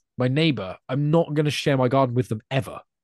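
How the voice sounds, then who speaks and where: With an English accent, a man talks at a fairly quick pace in a dry, close recording with no echo and a quiet background. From England. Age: 20s. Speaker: podcaster. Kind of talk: casual chat.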